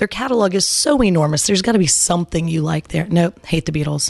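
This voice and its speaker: A woman with an American accent, an ordinary speaking voice, lively intonation and a fairly quick pace. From Arizona. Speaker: singer and music educator. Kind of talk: interview conversation. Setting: podcast interview.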